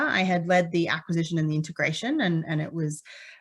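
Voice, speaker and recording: A woman with a slight Australian accent talks at a fairly quick pace, her pitch fairly low and her intonation fairly even. The recording is very clean, with a silent background. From Western Australia, Perth. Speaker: petroleum engineer, consultant. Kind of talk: conference talk. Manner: frequent filler words (um).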